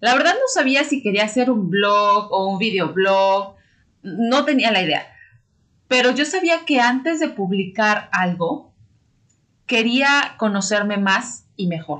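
At a very slow pace, a woman with a fairly high pitch and bright, sharp tone uses lively intonation while keeping her loudness very even. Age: 30s. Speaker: podcast host. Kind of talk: casual podcast monologue. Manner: warm, animated.

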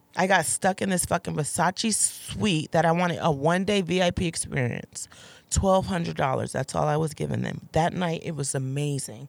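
A woman's very deep, low voice with vocal fry, an animated tone and ordinary pitch variation. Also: moderate pace. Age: 30s. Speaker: adult film actress. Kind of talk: casual chat.

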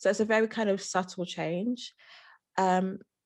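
Recorded very cleanly over a silent background, a woman talks in an unremarkable speaking voice at medium pitch with ordinary pitch variation. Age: 30s. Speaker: psychotherapist. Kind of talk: interview.

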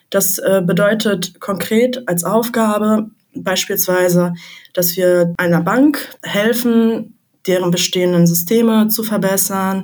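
Room echo can be heard. The intonation is fairly even. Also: woman. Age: 20s. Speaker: management consultant. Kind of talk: interview.

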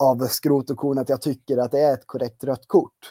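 With a dark, mellow tone, a man speaks at a fairly slow pace in a dry, close sound with no echo. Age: 20s. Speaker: football fan site editor. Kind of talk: casual chat.

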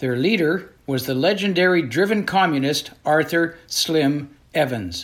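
This man talks at a fairly slow pace with lively intonation. His voice is fairly high in pitch and fairly bright in tone.

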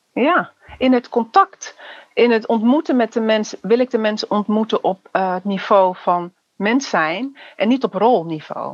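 Lively intonation lifts an ordinary speaking voice at a fairly slow pace in a dry, close sound with no echo. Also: woman, fairly high pitch for a woman. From Netherlands, Surinamese family. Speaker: youth care worker and trainer. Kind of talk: casual interview conversation.

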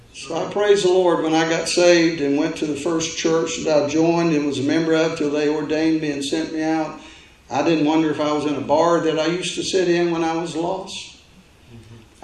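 A man speaks at a fairly high pitch and moderate pace, his intonation monotone and flat. Audible room echo and noticeable background noise accompany him. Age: 60s. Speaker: pastor. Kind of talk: sermon. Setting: church.

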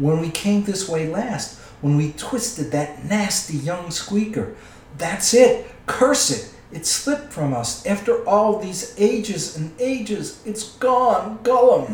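A man puts on a hissing character voice, pitched high. He speaks at a fairly slow pace with a slight echo around him. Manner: wheedling, muttering to himself, twisted grammar, "precious".

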